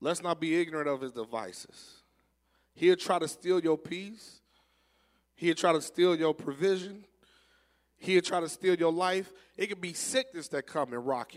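At a moderate pace, a man speaks in a high pitch with ordinary variation, big swings in loudness, and long, frequent pauses. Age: 30s. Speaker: preacher. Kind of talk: sermon. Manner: repetitive, stammering restarts.

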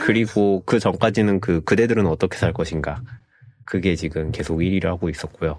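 Very deep, low male voice with ordinary pitch variation. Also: moderate pace. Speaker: tech podcast co-host. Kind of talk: casual chat. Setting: video call.

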